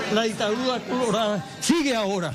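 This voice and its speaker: A man with a high pitch speaks at a moderate pace in a room with audible echo and noticeable background noise. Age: 80s+. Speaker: torture victim, former political prisoner. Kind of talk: impassioned statement to press.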